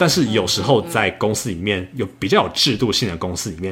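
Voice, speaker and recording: With an unremarkable speaking voice, a man talks at a fairly low pitch. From Taiwan. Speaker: software engineer and travel podcaster. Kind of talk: casual interview.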